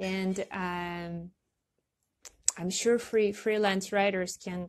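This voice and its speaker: This woman speaks with a non-native accent. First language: not English. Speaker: online marketing coach. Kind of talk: casual talk to camera. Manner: halting, many fillers.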